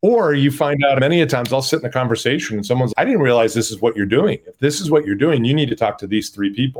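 Talking at a very fast pace, a man uses lively intonation at a medium pitch. The recording is very clean, the background silent. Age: 50s. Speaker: startup CEO. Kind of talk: interview.

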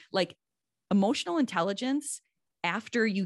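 A woman with an ordinary speaking voice, at a moderate pace with ordinary pitch variation over a quiet background. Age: 50s. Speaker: parenting author and social worker. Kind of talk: interview.

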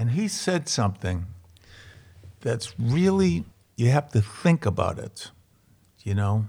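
Speaking with an American accent, a man uses a medium pitch that swings very widely, with long, frequent pauses. His tone is dark, mellow and somewhat breathy, and the recording is very clean with a silent background. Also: fairly slow pace. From Boston, Charlestown. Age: 70s. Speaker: comedian and actor, works with inmates. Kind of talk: casual interview, storytelling. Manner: animated, joking.

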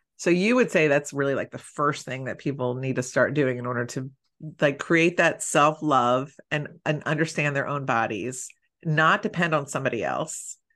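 A woman's very deep, low voice with an American accent, animated in tone with ordinary pitch variation, at a moderate pace over a quiet background. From Philadelphia, US. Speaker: matchmaker and podcast host. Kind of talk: casual interview chat.

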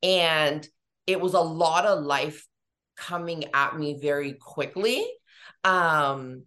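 A woman's fairly low voice, bright and sharp in tone, at a very slow pace with long, frequent pauses, big swings in loudness and fairly even intonation. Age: 30s. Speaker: beauty entrepreneur and esthetician. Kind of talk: interview. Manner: casual, chatty.

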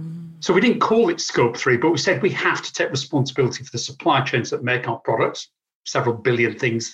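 Speaking at a fairly quick pace with an English accent, a man lets his pitch swing very widely. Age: 50s. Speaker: sustainability advisor. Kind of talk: interview.

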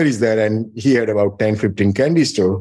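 With a Gujarati accent, a man speaks at a moderate pace in a fairly low, dark and mellow voice. His pitch varies in an ordinary way. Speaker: pharmaceutical company co-founder and CEO. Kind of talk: interview.

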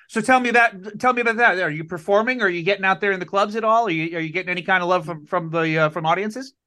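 Against a quiet background, a man with a high pitch and a bright, sharp tone raises and projects his voice, talking very fast with hardly any pauses and ordinary pitch variation. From Connecticut, US. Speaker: podcast host. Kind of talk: casual interview.

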